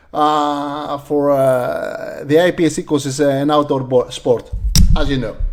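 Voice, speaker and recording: Over noticeable background noise, a man with a Greek accent speaks slowly-ish, at a fairly slow pace, with fairly high pitch and monotone, flat intonation. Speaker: sport shooting channel host. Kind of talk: live stream interview.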